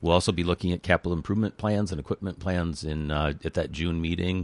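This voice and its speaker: The voice has vocal fry and fairly even intonation, moving at a fairly quick pace in a dry, close recording with no echo and a quiet background. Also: man. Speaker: city administrator. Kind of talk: radio interview. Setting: studio.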